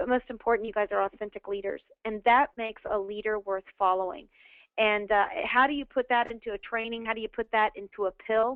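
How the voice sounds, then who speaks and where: The speaker is a woman with a fairly high pitch. She talks at a fairly quick pace. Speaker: network marketing leader. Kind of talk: webinar motivational talk. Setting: webinar call. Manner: animated.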